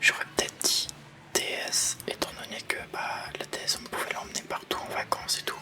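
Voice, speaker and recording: A soft-spoken man talks at a moderate pace. Music plays in the background. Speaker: ASMR gaming youtuber. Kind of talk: whispered gameplay commentary. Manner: whispering, sometimes gets loud.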